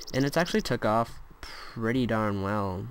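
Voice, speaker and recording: A man with a medium-pitched voice speaks against noticeable background noise. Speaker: gaming YouTuber. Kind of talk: gameplay commentary. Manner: mumbling at times; casual. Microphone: laptop mic, quiet audio.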